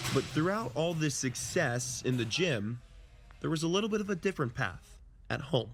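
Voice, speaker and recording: With music in the background, a man's pitch swings very widely while his loudness stays very even. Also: fairly high pitch for a man, moderate pace. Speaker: sports anchor and reporter. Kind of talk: TV news package voiceover.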